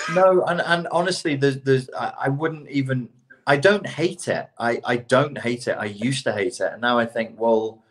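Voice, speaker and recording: Here a man speaks with a fairly high pitch at a moderate pace. His pitch varies an ordinary amount. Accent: British. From Britain. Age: middle-aged. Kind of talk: casual chat.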